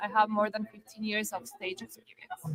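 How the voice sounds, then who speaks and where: A woman speaks with a Spanish accent in a bright, sharp tone. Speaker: interviewer, cruise career advisor. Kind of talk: live interview.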